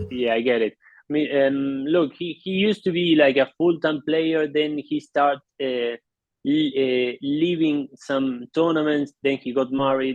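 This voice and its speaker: A man with an Argentine accent speaks at a fairly high pitch. His pace is fairly slow and his intonation fairly even. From Argentina. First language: Spanish. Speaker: polo play-by-play announcer. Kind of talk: interview. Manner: halting.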